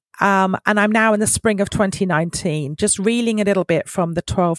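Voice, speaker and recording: In a British accent, a woman with a medium pitch talks at a fairly quick pace with lively intonation, and the sound is dry and close with no echo on a very clean recording with a silent background. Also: hardly any pauses. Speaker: podcast guest sharing a family discovery story. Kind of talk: personal testimony.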